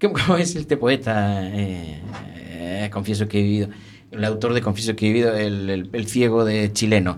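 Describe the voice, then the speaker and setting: Speaking at a moderate pace, a man has a fairly low pitch and a plain, everyday voice. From Spain, rural inland Galicia. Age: 50s. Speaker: judge. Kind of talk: interview. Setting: radio studio, live broadcast.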